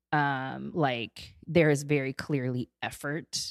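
On a very clean recording with a silent background, a woman speaks at a very deep, low pitch in a dry, close sound with no echo. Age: 30s. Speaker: podcast guest discussing dating and queerness. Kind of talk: casual interview chat.

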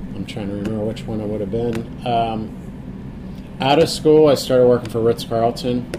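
A man's medium-pitched voice at a moderate pace, ordinary pitch variation, hardly any pauses, over noticeable background noise. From Pittsburgh, Pennsylvania. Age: 40s. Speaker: chef. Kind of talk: interview.

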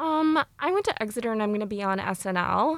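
A woman with an American accent has an unremarkable speaking voice, fairly high in pitch. She talks at a moderate pace with ordinary pitch variation on a very clean recording with a silent background. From US Midwest. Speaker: student podcast producer. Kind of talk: interview.

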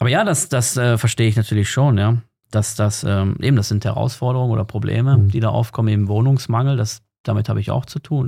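Talking very fast, the man has a dark, mellow, somewhat breathy voice at a medium pitch, with fairly even intonation. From Germany. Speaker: emigrant content creator. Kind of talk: interview conversation.

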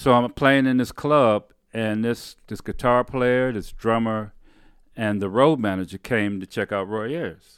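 A man with an American accent and an ordinary speaking voice, medium in pitch with ordinary pitch variation, at a fairly slow pace, sounding dry and close with no echo on a very clean recording with a silent background. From Detroit, Michigan. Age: 60s. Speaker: bass player, musician. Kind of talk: casual interview chat. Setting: home studio.

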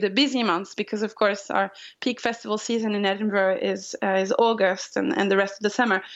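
A woman with a French accent speaks at a fairly high pitch. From France, Pyrenees. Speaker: long-distance hiker. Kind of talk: interview.

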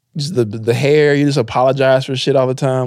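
Talking at a very fast pace, a man speaks at a fairly high pitch. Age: 30s. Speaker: podcast co-host, comedian. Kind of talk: casual chat. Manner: animated.

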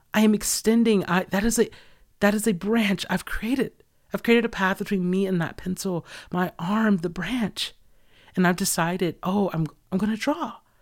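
A woman's animated, passionate delivery at medium pitch and moderate pace, ordinary pitch variation, very clean recording with a silent background. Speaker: podcast host and artist. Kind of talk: solo reflective monologue.

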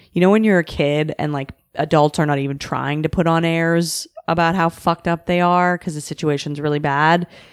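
A woman talks in a flat monotone with a fairly low pitch and a western Canadian accent. The recording is very clean with a silent background and a dry, close sound without echo. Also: moderate pace, hardly any pauses. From Canada, Vancouver. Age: 30s. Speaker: comedian. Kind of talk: casual chat.

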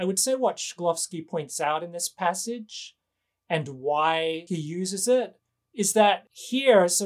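Recorded very cleanly against a silent background, a man with a high voice and an Australian accent speaks at a fairly slow pace with ordinary pitch variation. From Western Australia, Perth. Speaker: novelist and professor. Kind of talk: interview conversation.

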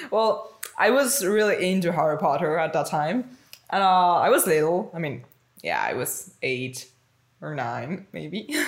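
This woman talks at a fairly slow pace with vocal fry and a fairly low pitch. Her pitch swings very widely. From Mexico. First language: Spanish. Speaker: podcast guest, host's sister. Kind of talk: casual chat.

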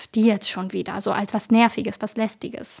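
Fairly even intonation carries speech at a moderate pace. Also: woman. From northern Germany, Bremen. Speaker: activist, volunteer program leader. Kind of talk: interview.

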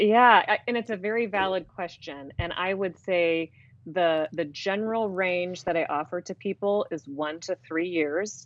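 Speaking with hardly any pauses, a woman at medium pitch has an ordinary speaking voice. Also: ordinary pitch variation. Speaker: divorce coach and author. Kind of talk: interview about divorce.

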